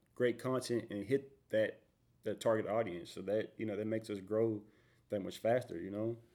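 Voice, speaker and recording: A man with an American accent speaks in an unremarkable speaking voice. His medium pitch carries fairly even intonation at a moderate pace. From Houston, Texas. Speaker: moving company owner. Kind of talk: casual interview. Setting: studio.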